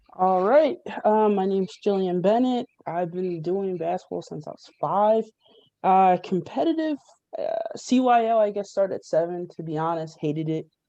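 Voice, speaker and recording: Her tone is dark and mellow, and this woman speaks at a medium pitch and moderate pace. Her intonation is lively, with big swings in loudness. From South Jersey, US. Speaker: former college basketball player and coach. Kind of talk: panel interview. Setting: group call.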